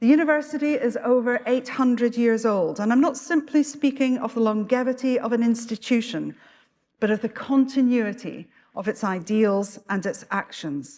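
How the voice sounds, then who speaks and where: A woman speaks at a high pitch with a Scottish accent. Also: ordinary pitch variation, moderate pace. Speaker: university official presiding at graduation. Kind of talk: ceremonial address. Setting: graduation ceremony hall with audience. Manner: formal.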